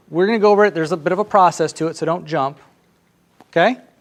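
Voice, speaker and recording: With ordinary variation in pitch, a man talks in a high voice. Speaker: business coach leading a seminar. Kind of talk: live seminar. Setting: seminar room with audience. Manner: fast; animated.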